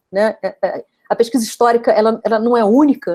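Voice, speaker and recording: Speaking at a fairly quick pace, a woman has a fairly high pitch and a dark, mellow tone. The sound is dry and close, with no echo. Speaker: professor. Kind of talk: academic lecture. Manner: fast; hesitant, many fillers.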